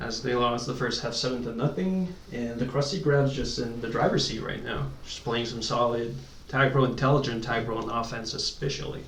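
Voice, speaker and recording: A man of medium pitch talks at a moderate pace with fairly even intonation. Audible room echo and noticeable background noise surround him. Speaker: esports commentator. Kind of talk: live commentary. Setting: live stream.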